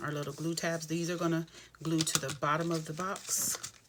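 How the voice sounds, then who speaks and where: Against noticeable background noise, a woman with a very deep, low pitch speaks fairly quickly. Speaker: craft demonstrator. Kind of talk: tutorial. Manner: casual, friendly.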